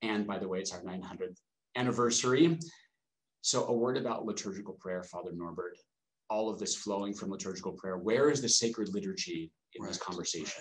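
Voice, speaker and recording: A man talks at a fairly quick pace in a normal speaking voice, fairly low in pitch with ordinary pitch variation. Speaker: priest and novice master. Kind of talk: webinar host intro and Q&A moderation. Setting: online webinar.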